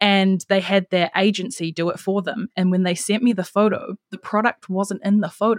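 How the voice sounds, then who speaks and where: Speaking with a New Zealand accent, a woman keeps her intonation fairly even. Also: dry, close sound with no echo. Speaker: marketing strategist. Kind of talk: casual interview chat. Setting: video call from abroad.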